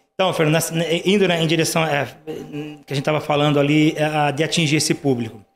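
Spoken at a fairly quick pace, this is an unremarkable speaking voice with fairly even intonation. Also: man, fairly high pitch for a man. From Brazil, rural Paraná interior. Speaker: dental lab owner. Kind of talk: casual interview chat.

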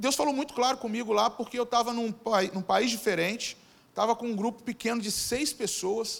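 A man speaks at a very fast pace. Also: very clean recording, silent background. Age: 40s. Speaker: pastor. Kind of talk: sermon. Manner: halting, frequent repetitions.

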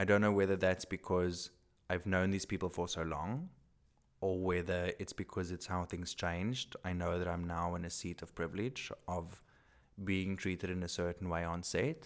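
A man speaks in a South African accent, his very deep, low voice monotone and flat. The recording is very clean with a silent background. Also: moderate pace. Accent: Afrikaans-accented English. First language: Afrikaans. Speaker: male model.

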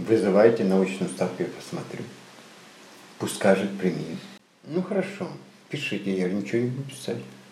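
A man with a fairly low pitch and lively intonation leaves long, frequent pauses. Noticeable background noise and audible room echo surround him. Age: 70s. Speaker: retired actor, refugee. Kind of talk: interview storytelling. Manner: halting.

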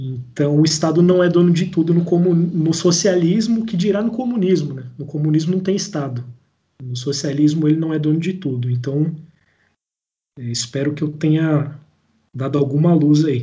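A man speaks at a moderate pace and fairly high pitch in a dark, mellow tone with ordinary pitch variation. Room echo is audible. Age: 20s. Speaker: engineer and political activist podcaster. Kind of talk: casual political discussion.

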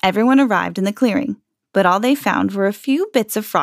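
This is a natural reading voice with ordinary pitch variation. Behind it, the background is quiet.

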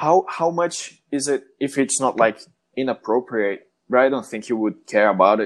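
Speaking with a Brazilian accent, a man uses lively intonation at a fairly slow pace against a quiet background. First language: Portuguese. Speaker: podcast host. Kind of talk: casual chat.

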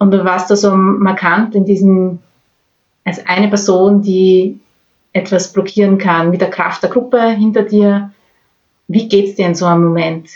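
A woman speaks at a fairly slow pace in a monotone with flat intonation, her loudness very even and her speech broken by long, frequent pauses. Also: medium pitch for a woman. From Austria, Graz. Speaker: podcast host, climate activist. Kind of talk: interview.

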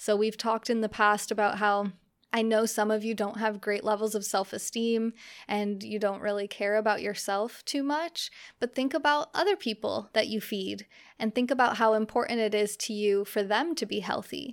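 Fairly high-pitched and with an American accent, a woman speaks at a moderate pace in an unremarkable speaking voice. Her intonation is fairly even, on a very clean recording with a silent background. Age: 30s. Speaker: podcast host. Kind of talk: solo monologue podcast.

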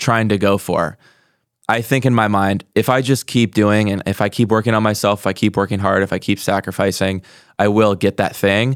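On a very clean recording with a silent background, a man with a normal speaking voice and fairly low pitch keeps a moderate pace, very even loudness and fairly even intonation. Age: 20s. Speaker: podcast host. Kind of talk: casual interview chat.

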